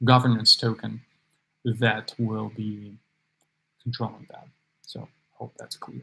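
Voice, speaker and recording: A mumbling man with a medium pitch, a moderate pace, monotone, flat intonation and a bright, sharp tone. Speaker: startup founder. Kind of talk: live Q&A. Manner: halting.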